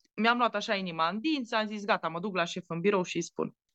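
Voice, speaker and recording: Talking at a very fast pace in a Transylvanian accent, a woman with a medium pitch and an animated tone comes through with a dry, close sound and no echo. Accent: Transylvanian Romanian. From Romania, Maramureș (Baia Mare). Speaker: chef and TV cooking show judge. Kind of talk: casual interview.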